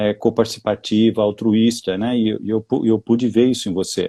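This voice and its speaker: A man at medium pitch with a dark, mellow tone and a moderate pace, in a dry, close sound with no echo. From Brazil, São Paulo state interior (Taubaté). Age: 60s. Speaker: executive coach and mentor. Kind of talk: live interview. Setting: online live stream. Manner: halting, many fillers and restarts.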